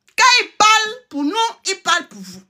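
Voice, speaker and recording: A woman's raised, projected voice with a bright, sharp tone at a moderate pace. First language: a Togolese native language (speaking French). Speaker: political commentator, channel owner. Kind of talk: online political monologue. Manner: animated.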